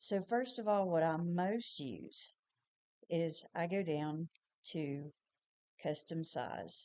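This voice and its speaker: A woman with a Tennessee accent speaks very slowly, with long, frequent pauses, a fairly low pitch, a dark, mellow tone and lively intonation. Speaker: small business owner and designer. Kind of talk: tutorial. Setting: screen recording. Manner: casual.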